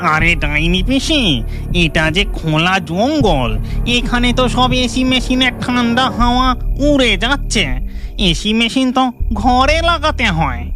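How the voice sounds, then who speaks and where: A cartoonish character voice, fairly high and fairly slow, over loud background noise. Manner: boastful know-it-all.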